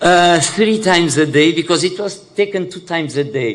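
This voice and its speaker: Against noticeable background noise and an audible room echo, a man speaks at a moderate pace with ordinary pitch variation. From Portugal. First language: Portuguese. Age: 60s. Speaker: HIV activist living with HIV. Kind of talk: conference panel talk. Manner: halting, many fillers.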